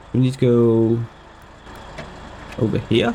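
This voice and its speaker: A man's very slow speech over noticeable background noise. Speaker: gaming youtuber. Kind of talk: gameplay commentary.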